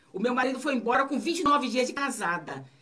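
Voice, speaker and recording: A woman's fairly high voice at a moderate pace, against noticeable background noise. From Bahia, Brazil (Itabuna). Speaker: author. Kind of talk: radio interview. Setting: radio studio.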